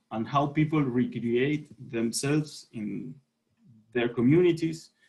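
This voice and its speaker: In a Chilean accent, a man speaks very slowly in a fairly high, somewhat breathy voice with a dark, mellow tone. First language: Spanish. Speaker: sport sociologist. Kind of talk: panel presentation. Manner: halting.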